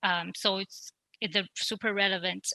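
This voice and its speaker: A woman at a fairly slow pace, dry and close with no echo, music playing in the background. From China. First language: Chinese. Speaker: law school alumna, international trade lawyer. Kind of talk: panel interview.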